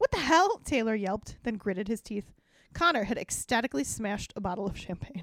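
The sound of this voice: Lively intonation runs through the clip. The voice reads in an unforced way.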